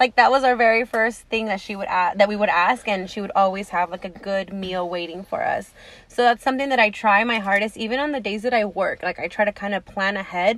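Hardly pausing, a woman talks at a fairly quick pace and medium pitch. It's a normal speaking voice with ordinary pitch variation. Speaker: podcast co-host. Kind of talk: casual chat.

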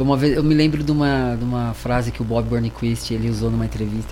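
Background noise and a noticeable room echo around a man's voice. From Brazil, São Paulo then interior city. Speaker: skateboarder. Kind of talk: casual radio interview.

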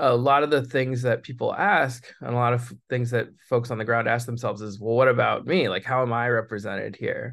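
With an American accent, a man speaks in an ordinary speaking voice at a medium pitch and fairly even intonation. He talks at a fairly quick pace with hardly any pauses against a quiet background. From California, Monterey area. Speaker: trade justice activist, coalition director. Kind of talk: interview.

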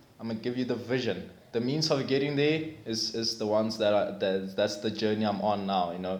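Against noticeable background noise and audible room echo, a man talks at a fairly quick pace with hardly any pauses, a medium pitch, and ordinary pitch variation. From South Africa, Limpopo village. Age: 30s. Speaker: personal trainer. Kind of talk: casual chat.

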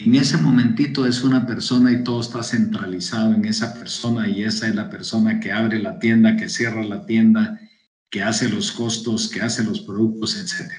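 Audible room echo surrounds the voice. The pace is moderate, with ordinary pitch variation. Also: man, medium pitch for a man. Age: 70s. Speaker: business consultant. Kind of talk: interview.

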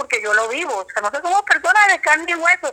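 A woman speaks in a raised, projected voice. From Colombian Caribbean, San Juan Nepomuceno (Bolívar). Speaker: human rights defender and lawyer. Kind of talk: interview. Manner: halting.

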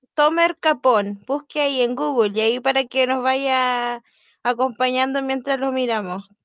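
Speaking with a Chilean accent, a woman has a high pitch and ordinary pitch variation. She talks at a fairly slow pace against a quiet background. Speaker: podcast co-host. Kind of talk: casual chat.

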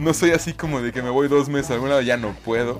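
Through noticeable background noise, a man speaks fairly quickly at a fairly high pitch. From Mexico, Michoacán (Zitácuaro). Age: 20s. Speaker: podcaster. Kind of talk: casual monologue.

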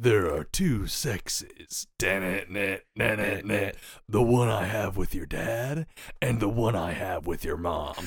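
A man's raspy, put-on character voice, fairly low in pitch, at a very slow pace. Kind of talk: nonsense joke lines.

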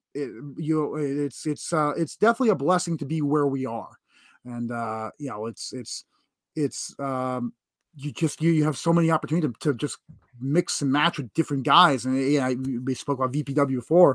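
With an American accent, a man speaks in an ordinary speaking voice that is fairly high in pitch. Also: ordinary pitch variation, fairly quick pace, dry, close sound with no echo. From New York (Long Island). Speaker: professional wrestler. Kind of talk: interview.

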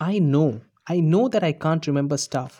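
The tone is dark and mellow, and the intonation is lively. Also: man. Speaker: podcaster. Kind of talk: scripted monologue. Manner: rehearsed.

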